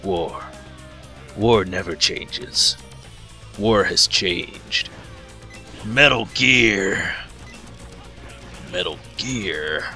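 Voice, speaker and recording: A man does a put-on character voice at a very slow pace and fairly low pitch, with clear music playing behind him. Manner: grim, dramatic narration.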